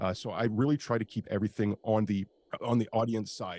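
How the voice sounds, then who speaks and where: A man with an ordinary speaking voice, fairly low in pitch and in a Canadian accent, talks at a fairly quick pace on a very clean recording with a silent background and a dry, close sound with no echo. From Canada. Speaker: industrial real estate broker and YouTuber. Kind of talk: interview. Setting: live video stream.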